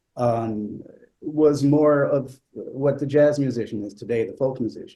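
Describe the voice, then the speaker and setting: This man's medium-pitched voice has a dark, mellow tone and ordinary pitch variation. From Italy. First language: not English. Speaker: flutist. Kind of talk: panel conversation. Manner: hesitant, many fillers.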